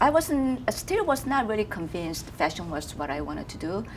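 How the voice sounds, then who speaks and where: At a moderate pace, a woman speaks with a Korean accent. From South Korea. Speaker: fashion designer. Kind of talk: interview. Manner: halting.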